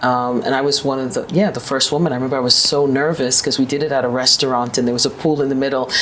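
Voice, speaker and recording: Over noticeable background noise, a woman with a New York accent speaks very fast with hardly any pauses, her pitch very deep and low and her intonation fairly even. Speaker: business executive. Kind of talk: interview.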